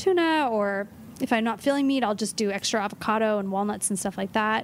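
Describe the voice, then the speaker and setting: The speaker talks at a very fast pace in a Californian accent. Pitch varies in an ordinary way. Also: woman. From Los Angeles. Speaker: nutritionist. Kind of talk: casual chat.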